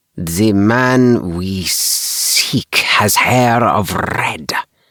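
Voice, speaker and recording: Using a put-on character voice, a man speaks very slowly at a fairly low pitch, with hissing throughout. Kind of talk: bedtime story. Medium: read story. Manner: formal, clipped.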